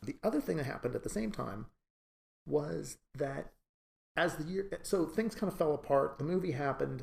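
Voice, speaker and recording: A fairly high-pitched male voice with vocal fry, lively intonation, and a moderate pace. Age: 60s. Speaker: animation writer and producer. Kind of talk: interview.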